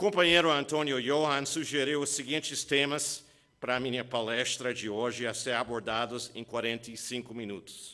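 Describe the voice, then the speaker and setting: A man speaks at a medium pitch with a strong non-native accent. His pitch varies in an ordinary way. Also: moderate pace. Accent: foreign accent in Portuguese, strong. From USA. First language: English (speaking Portuguese). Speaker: labor lawyer, keynote speaker. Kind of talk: keynote lecture.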